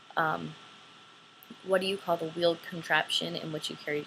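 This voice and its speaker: An American accent at a fairly quick pace, with noticeable background noise. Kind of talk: casual talk to camera, accent tag answers.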